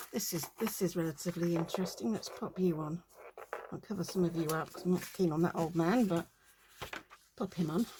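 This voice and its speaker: A woman with a British accent speaks at a fairly quick pace in a fairly low voice, her intonation fairly even and her speech broken by long, frequent pauses. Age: 60s. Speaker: crafting video creator. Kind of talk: craft-along casual talk. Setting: home crafting desk, filmed on tripod. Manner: chatty, rambling with many fillers.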